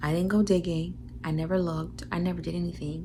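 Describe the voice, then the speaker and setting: A woman whispers. The room echo is audible. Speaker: vlogger. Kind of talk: casual vlog talk. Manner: whispering.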